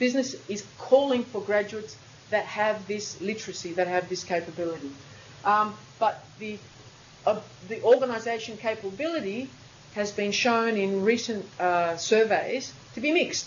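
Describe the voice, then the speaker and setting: A woman with an Australian accent, fairly high in pitch with ordinary pitch variation, plus noticeable background noise and audible room echo. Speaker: university lecturer. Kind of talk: lecture. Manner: fast.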